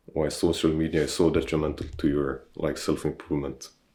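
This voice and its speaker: A man's very deep, low pitch with vocal fry. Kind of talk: casual talk to camera. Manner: slow-paced.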